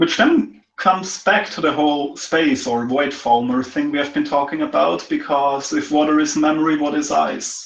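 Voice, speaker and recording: A man with a non-native accent at a moderate pace, hardly any pauses. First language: not English. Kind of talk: casual chat.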